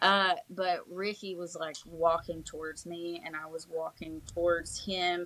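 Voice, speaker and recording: Fairly low in pitch, a woman with an Appalachian accent keeps her intonation fairly even. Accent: Appalachian Southern US. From Eastern Kentucky (Prestonsburg area). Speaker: country singer-songwriter. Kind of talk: casual interview chat.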